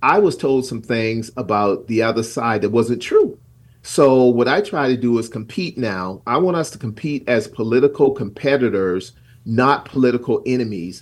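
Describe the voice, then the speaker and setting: A man's plain, everyday voice at a medium pitch and moderate pace, with lively intonation, on a very clean recording with a silent background. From South Carolina. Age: 60s. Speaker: pastor and community leader. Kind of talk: radio interview.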